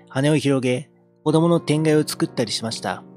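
The sound is dry with no echo, and faint music plays in the background. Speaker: amateur reader / game streamer. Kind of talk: literary audiobook reading. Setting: home recording with a handheld mic and audio interface.

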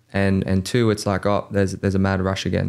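A man speaks with an Australian accent and a fairly low pitch. The background is quiet. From Australia, Campbelltown (Sydney). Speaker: mortgage broker, podcast co-host; podcast co-host. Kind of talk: casual chat; podcast conversation. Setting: studio. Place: studio. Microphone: studio mic.

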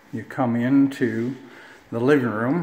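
A man with fairly even intonation, with audible room echo. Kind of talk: property tour narration. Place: empty room. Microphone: phone near.

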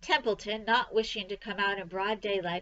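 The reading aloud is done in a natural voice. Its intonation is fairly even.

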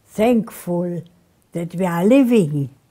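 A woman's voice, somewhat breathy with a dark, mellow tone. The background is quiet. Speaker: interviewee. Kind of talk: interview answer. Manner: frail, slow, very elderly voice. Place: home room. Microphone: lapel.

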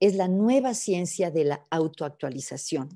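Her voice is fairly low in pitch with a dark, mellow tone and lively intonation. The woman speaks at a fairly slow pace over a quiet background. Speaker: psychologist and coach; coach. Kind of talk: webinar talk. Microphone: webcam.

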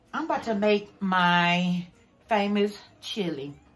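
A woman speaks with faint music in the background. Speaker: home cook vlogger. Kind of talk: casual vlog chat, cooking tutorial. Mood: relaxed, cheerful. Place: kitchen. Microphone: phone near.

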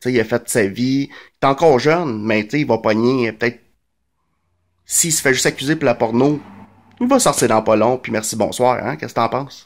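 A man speaking with long, frequent pauses and ordinary pitch variation. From Quebec, Montreal (Verdun); Quebec. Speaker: vlogger. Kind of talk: casual monologue commentary. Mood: sarcastic, indignant. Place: home room. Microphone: phone near.

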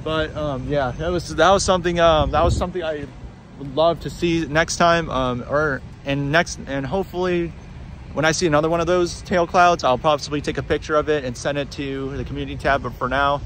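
Over light background noise, a man talks at a fairly quick pace with fairly even intonation and a dry sound with no echo. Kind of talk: casual vlog chat. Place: street. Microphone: phone near.

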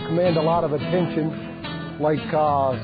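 Clear music plays in the background as a man speaks with an American accent. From Michigan, USA. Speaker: auctioneer. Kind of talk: casual talk to camera, interview answer. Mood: relaxed, friendly. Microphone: lapel.

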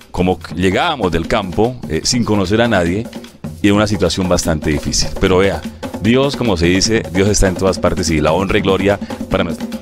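A man's very deep, low voice with ordinary pitch variation, dry with no echo, over clear music in the background. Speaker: radio announcer and director of a local radio station. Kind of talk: interview answer telling personal life story. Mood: warm, grateful storytelling. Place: studio. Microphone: lapel.

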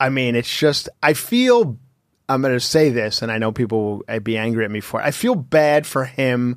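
In a dry recording with no echo and a quiet background, a man talks at a moderate pace with ordinary pitch variation. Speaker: stand-up comedian. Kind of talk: casual chat. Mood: joking, relaxed. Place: studio. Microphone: studio mic.

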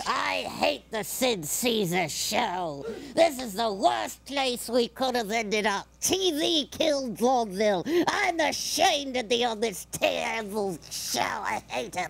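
A woman performs a put-on character voice at a fairly high pitch. She moves at a fairly slow pace with very wide pitch swings. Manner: cranky, insulting.

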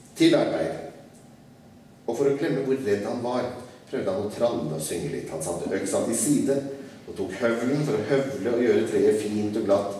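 With strong room echo and light background noise, a man speaks at a moderate pace with lively intonation and long, frequent pauses. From Norway. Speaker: writer. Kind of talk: live reading of a children's classic. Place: hall. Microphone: podium.

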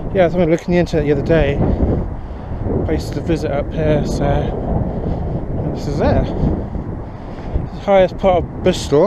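Loud background noise surrounds a man whose voice has a dry sound with no echo. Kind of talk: casual exploring commentary. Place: open country. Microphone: phone near.

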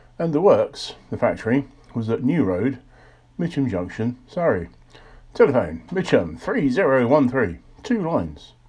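A man's voice with vocal fry, very wide pitch swings and a fairly slow pace. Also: medium pitch for a man. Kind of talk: reading aloud a 1930s magazine advertisement. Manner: formal, even, deliberate read-out of text; measured, informative, matter-of-fact.

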